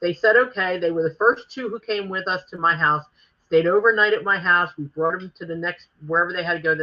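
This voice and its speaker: A woman talks at a fairly quick pace in a Philadelphia accent, with a fairly low pitch. Her loudness swings a lot while her pitch variation stays ordinary. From Philadelphia, North Philly. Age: 60s. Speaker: former wrestling promoter. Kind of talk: interview.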